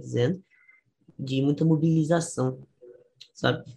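The voice has a dark, mellow tone and is somewhat breathy. It moves at a fairly slow pace with ordinary pitch variation. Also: man. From Brazil, Pernambuco. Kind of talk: casual history discussion.

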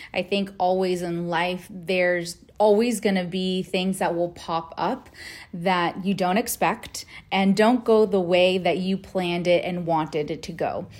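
The woman has an ordinary speaking voice, medium in pitch. She talks at a fairly slow pace with fairly even intonation. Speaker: podcast host and company executive. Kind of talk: casual monologue, book review.

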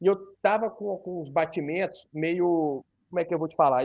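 A man with a high voice speaks at a moderate pace with ordinary pitch variation, the sound dry and close with no echo. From northern Rio de Janeiro state, near Minas Gerais border. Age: 30s. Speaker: accountant and fitness social media creator sharing his weight-loss surgery story. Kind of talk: casual interview.

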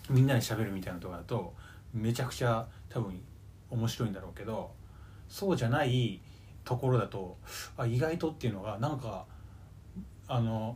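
A man talks at a fairly quick pace, somewhat breathy, with long, frequent pauses. Audible room echo surrounds his voice. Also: medium pitch for a man, ordinary pitch variation. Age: 20s. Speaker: podcast co-host. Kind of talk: casual chat. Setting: recording at co-host's home.

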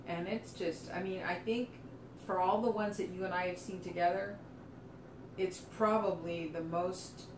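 A woman at a fairly slow pace with fairly even intonation, over noticeable background noise. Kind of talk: casual discussion. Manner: halting, hesitant.

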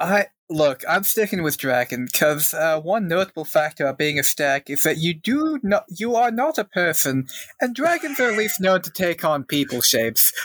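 A man with an American accent and a high pitch talks at a moderate pace with very wide pitch swings. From San Francisco Bay Area, California. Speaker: podcast cast member. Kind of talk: casual chat.

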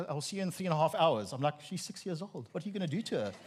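A man with an Afrikaans South African accent talks very fast with lively intonation. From South Africa, Free State. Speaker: preacher giving a sermon. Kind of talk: sermon. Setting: church with congregation.

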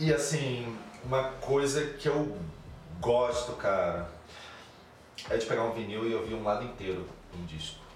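A man speaks at medium pitch and a fairly slow pace, with long, frequent pauses and ordinary pitch variation. Noticeable background noise and audible room echo are present. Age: 40s. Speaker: cultural producer and DJ. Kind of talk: casual interview chat.

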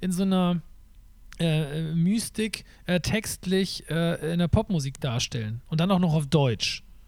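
The man's pitch is high, and his pace is fairly slow. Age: 30s. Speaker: podcast host and performer. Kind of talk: casual chat.

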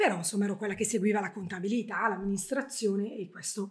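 A somewhat breathy woman's voice at a medium pitch, going at a very fast pace. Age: 40s. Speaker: travel blogger. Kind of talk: interview. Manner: talkative.

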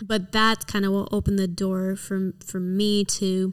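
In a very clean recording with a silent background, a woman with an American accent speaks fairly slowly at a medium pitch in a flat, monotone way. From New York City, the Bronx, then Michigan. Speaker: church worship leader. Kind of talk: testimony. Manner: halting.

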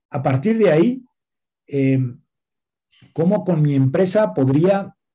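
His high-pitched voice has a dark, mellow tone, and this man shows ordinary pitch variation. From Spain. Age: 40s. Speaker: nonprofit director. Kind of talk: interview.

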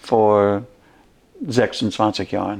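A man with an English accent. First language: English (speaking German). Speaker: pastor. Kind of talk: casual chat.

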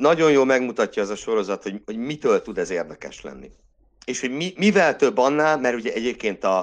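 Very wide pitch swings mark this man's speech. He goes at a fairly quick pace against a quiet background. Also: medium pitch for a man. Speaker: classics lecturer and Formula 1 podcaster. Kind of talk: casual chat.

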